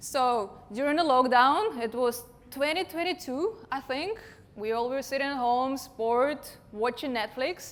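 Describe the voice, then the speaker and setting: Lively intonation carries this fairly slow delivery. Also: woman, high pitch for a woman. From Russia. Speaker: digital marketing consultant. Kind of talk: conference talk.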